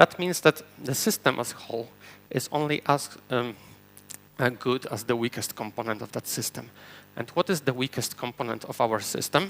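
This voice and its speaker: Dry and close with no echo, a man with a Polish accent speaks at a medium pitch and moderate pace, with ordinary pitch variation. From Poland. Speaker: software engineer and conference speaker. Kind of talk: conference talk. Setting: stage with audience.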